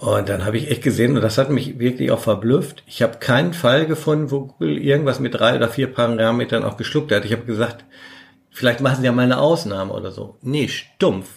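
A man talks at a fairly quick pace with lively intonation. His voice carries vocal fry. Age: 60s. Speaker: search engine optimization veteran. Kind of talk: casual interview.

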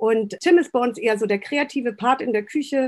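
Using an ordinary speaking voice, a woman keeps a moderate pace and ordinary pitch variation. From northern Germany, Baltic coast. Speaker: restaurant owner and consultant. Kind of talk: podcast interview.

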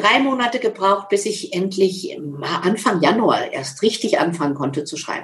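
Lively in her intonation, a woman uses an ordinary speaking voice at a medium pitch. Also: moderate pace. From Lower Saxony, Germany (Schaumburg area). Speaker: motivational speaker and author. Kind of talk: interview.

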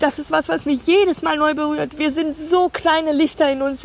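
A woman speaks at a high pitch with an animated tone. Her pace is moderate. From Germany. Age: 50s. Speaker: life coach and podcast host. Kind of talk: casual chat. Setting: outdoors on a meadow.

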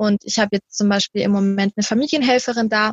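Somewhat breathy and fairly high, a woman's voice moves at a fairly quick pace with ordinary pitch variation. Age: 20s. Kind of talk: interview.

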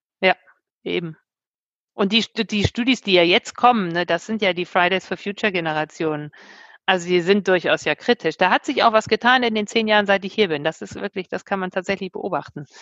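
A woman speaks in an ordinary speaking voice at medium pitch, with ordinary pitch variation and a fairly quick pace. The sound is dry and close with no echo, over a quiet background. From Germany, Bremen. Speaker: university president. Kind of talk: casual interview.

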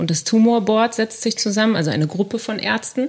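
Noticeable background noise surrounds a woman's voice. She speaks at a moderate pace with ordinary pitch variation. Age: 30s. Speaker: radio journalist. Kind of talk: casual chat.

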